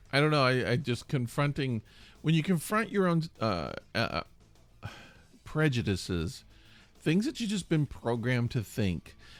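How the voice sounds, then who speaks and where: A man's fairly high voice with an American accent, very wide pitch swings, a fairly slow pace and long, frequent pauses, over music in the background. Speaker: podcast host. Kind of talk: casual chat. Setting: studio.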